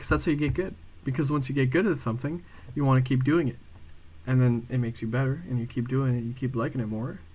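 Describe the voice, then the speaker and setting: A somewhat breathy man at a medium pitch, very fast in pace, with ordinary pitch variation. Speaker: video diarist. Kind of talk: casual vlog monologue. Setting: home room at night.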